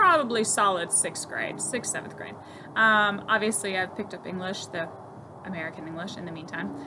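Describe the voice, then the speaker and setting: Amid noticeable background noise and audible room echo, a woman speaks at a fairly quick pace. Her pitch varies in an ordinary way, while her loudness swings widely. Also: medium pitch for a woman. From Germany, then Florida from age ~9. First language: German. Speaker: horse trainer and stable owner. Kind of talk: casual vlog introduction.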